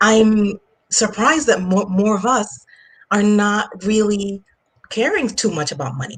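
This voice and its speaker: The speaker sounds somewhat breathy, with a Jamaican accent. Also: woman. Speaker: finance coach. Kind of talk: interview. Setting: online live stream. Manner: hesitant, many fillers.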